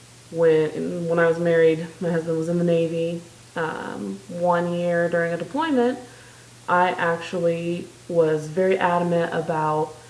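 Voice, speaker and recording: A woman with an American accent talks at a fairly slow pace and fairly low pitch with fairly even intonation, amid noticeable background noise and audible room echo. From US Midwest (South Dakota). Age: 20s. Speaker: vlogger. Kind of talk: casual video diary. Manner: hesitant, many filler ums.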